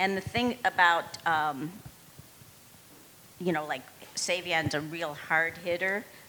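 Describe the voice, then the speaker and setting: Very slowly, a woman talks in a fairly low voice with fairly even intonation. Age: old. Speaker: tap dancer. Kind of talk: panel discussion.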